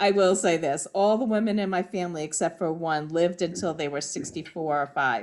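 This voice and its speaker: A woman talks fairly quickly with hardly any pauses, in a plain, everyday voice. Her pitch is fairly low, with ordinary variation. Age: 60s. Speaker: sewing group participant. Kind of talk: casual chat.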